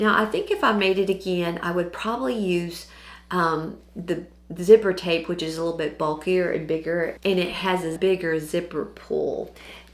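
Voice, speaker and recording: A woman's fairly low, fairly even voice with an American accent, at a moderate pace amid noticeable background noise. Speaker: sewing channel host. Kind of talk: tutorial. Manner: casual with fillers.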